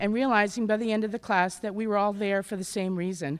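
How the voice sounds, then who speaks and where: Loud speech at a very fast pace. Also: woman. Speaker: adult education graduate. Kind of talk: graduation speech. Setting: auditorium ceremony with audience.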